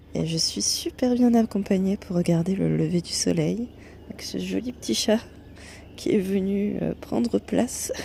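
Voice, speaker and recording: There is noticeable background noise. This woman takes a fairly slow pace. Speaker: travel vlogger. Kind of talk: travel vlog. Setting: outdoors. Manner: soft-spoken; animated.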